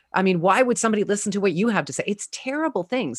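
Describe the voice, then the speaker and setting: The recording sounds dry and close, without any echo. The speaker is a woman. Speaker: communications coach and actor. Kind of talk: interview conversation. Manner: strong, not quiet.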